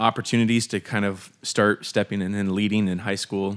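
Someone with an American accent speaks at a fairly quick pace with fairly even intonation on a very clean recording with a silent background. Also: man. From Pennsylvania, Harrisburg area. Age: 30s. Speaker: church worship director. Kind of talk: casual chat. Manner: halting.

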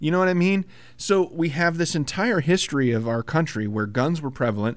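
A man with a normal speaking voice talks at a fairly quick pace. His intonation is lively. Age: 30s. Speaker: podcast co-host, IT worker. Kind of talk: casual chat.

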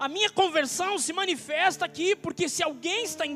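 A raised, projected voice with ordinary pitch variation carries over noticeable background noise. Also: man. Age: 20s. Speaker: pastor. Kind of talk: sermon. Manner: animated.

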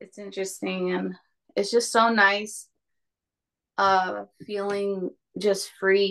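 Against a quiet background, a woman with an American accent speaks at a very slow pace in a monotone, flat intonation, with long, frequent pauses. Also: medium pitch for a woman. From California Central Valley. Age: 20s. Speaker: mother sharing birth stories. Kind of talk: testimony.

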